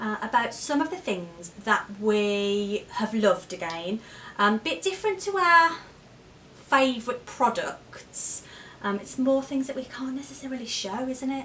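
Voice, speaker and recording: A woman with a West Midlands accent speaks at a fairly slow pace. Her voice is high, with very wide pitch swings. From Wolverhampton, England. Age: 30s. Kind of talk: casual talk to camera.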